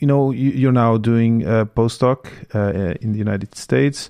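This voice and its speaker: Spoken with a French accent, the delivery keeps a moderate pace and fairly even intonation. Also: man. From Belgium and Portugal. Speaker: podcast host. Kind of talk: interview.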